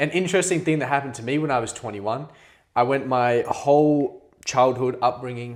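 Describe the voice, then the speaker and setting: A man with an Australian accent speaks fairly quickly at a fairly high pitch, with noticeable background noise behind him. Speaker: podcast co-host. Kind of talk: casual chat.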